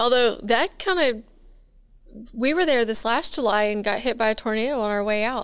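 Heard in a very clean recording with a silent background, a woman with an American accent and an ordinary speaking voice talks at a moderate pace with a fairly high pitch and ordinary pitch variation. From Texas. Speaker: podcast co-host. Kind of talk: casual interview.

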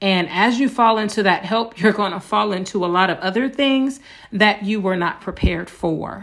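A woman speaks in an ordinary speaking voice, her medium pitch showing ordinary pitch variation as she keeps a moderate pace. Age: 40s. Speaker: podcast host, abuse survivor. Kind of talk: solo monologue, personal testimony. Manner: frequent filler words (um, uh).

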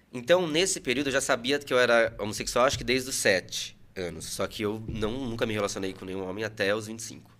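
On a very clean recording with a silent background, a man with an ordinary speaking voice speaks fairly quickly at a medium pitch, with ordinary pitch variation. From Brazil, Salto (São Paulo state). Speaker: psychoanalyst. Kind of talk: casual interview.

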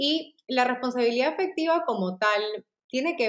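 A woman's normal speaking voice at a moderate pace. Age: 30s. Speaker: clinical psychologist. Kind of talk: interview.

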